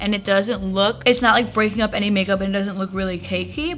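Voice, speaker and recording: Music plays in the background. Over it, a woman talks at a medium pitch. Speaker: beauty YouTuber. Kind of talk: makeup tutorial. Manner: chatty, casual.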